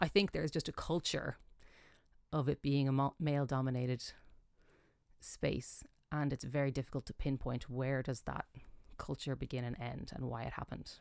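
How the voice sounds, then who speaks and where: With an Irish accent, a woman with a very deep, low pitch speaks at a moderate pace in fairly even intonation, leaving long, frequent pauses, over a very clean recording with a silent background. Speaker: jazz singer. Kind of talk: interview.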